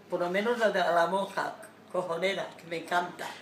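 In a room with audible echo and light background noise, a woman speaks at a moderate pace with monotone, flat intonation. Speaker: grandmother, investment-scandal victim. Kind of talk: casual talk to camera, greeting a public figure. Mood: cheerful, smiling. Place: home room. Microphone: phone near.

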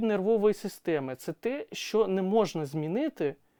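Here a man talks with lively intonation at a high pitch. The sound is dry and close with no echo, on a very clean recording with a silent background. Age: 30s. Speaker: psychologist. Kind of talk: educational monologue. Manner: hesitant with fillers.

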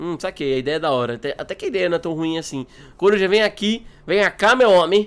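A man speaks very fast in a high, animated voice with lively intonation. The recording is very clean, with a silent background. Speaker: gaming YouTuber. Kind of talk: casual gameplay commentary.

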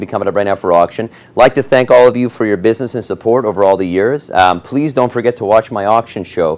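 Very fast, upbeat delivery with hardly any pauses. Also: man. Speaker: TV auction host. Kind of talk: TV shopping auction pitch, selling rugs live on air. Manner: upbeat, salesy, friendly, pitching fluently with filler pauses. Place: studio. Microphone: lapel.

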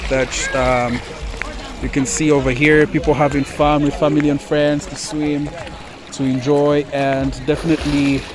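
A man at a moderate pace, noticeable background noise, dry sound with no echo. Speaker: vlogger touring a resort. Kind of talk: casual vlog chat. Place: waterside. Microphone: phone near.

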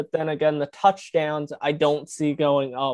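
Against a quiet background, a man's voice sounds dry with no echo. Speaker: fantasy football podcaster. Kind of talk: casual chat. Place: home room. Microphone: video call.

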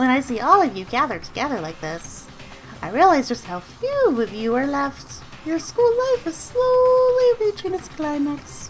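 A woman's put-on character voice, high in pitch, over clear background noise. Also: moderate pace. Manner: playful, mocking, whiny.

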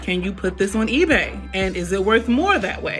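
Clear music plays behind a woman who speaks at a fairly quick pace. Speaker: vlogger. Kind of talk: casual vlog chat while eating. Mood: playful, questioning. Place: kitchen. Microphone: phone near.

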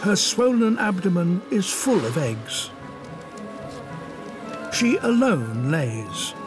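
Very slow pace, long, frequent pauses, very wide pitch swings and very even loudness, with music in the background. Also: man, high pitch for a man. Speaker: nature documentary narrator. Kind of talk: nature documentary narration.

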